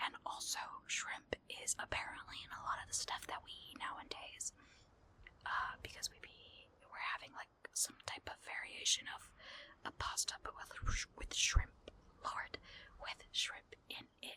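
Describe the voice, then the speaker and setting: The voice is whispering at a fairly slow pace. Long, frequent pauses break it up. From partly Mexican heritage. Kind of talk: casual talk to camera.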